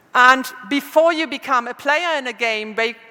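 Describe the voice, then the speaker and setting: A high-pitched woman's voice with lively intonation at a moderate pace, amid noticeable background noise. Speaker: conference speaker. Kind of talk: lecture. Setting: stage with audience. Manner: halting.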